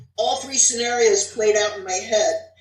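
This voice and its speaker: A woman with an American accent talks at a fairly quick pace and a fairly high pitch amid noticeable background noise. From New Jersey. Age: 60s. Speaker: author. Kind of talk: reading aloud.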